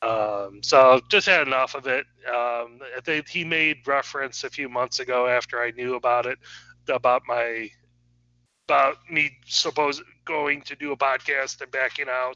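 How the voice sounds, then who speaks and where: With fairly even intonation, a plain, everyday voice talks at a moderate pace. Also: man, medium pitch for a man. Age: 40s. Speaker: podcast host. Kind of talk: casual chat.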